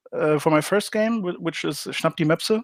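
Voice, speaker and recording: In a very clean recording with a silent background, a man with a German accent speaks at a fairly high pitch. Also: dry, close sound with no echo. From Germany. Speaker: game designer. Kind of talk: interview. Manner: hesitant, many fillers.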